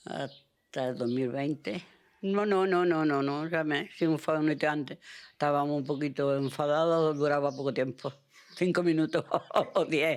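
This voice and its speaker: At a fairly slow pace, a woman with a very deep, low pitch speaks with fairly even intonation in a very clean recording with a silent background. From Andalusia, Spain. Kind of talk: interview answer.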